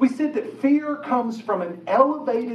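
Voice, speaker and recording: With an American accent and an animated tone, a man speaks at an extremely high pitch and a fairly slow pace, amid noticeable background noise and audible room echo. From West Virginia. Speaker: pastor. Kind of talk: sermon. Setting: church auditorium with audience.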